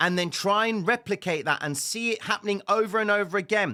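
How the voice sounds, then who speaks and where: A man uses a raised, projected voice. His tone is bright and sharp. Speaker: trading educator. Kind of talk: tutorial. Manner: fast, clipped; loud, emphatic.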